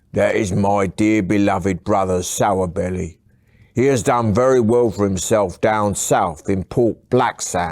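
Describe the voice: Someone does plain reading aloud, and the pitch shifts by an ordinary amount.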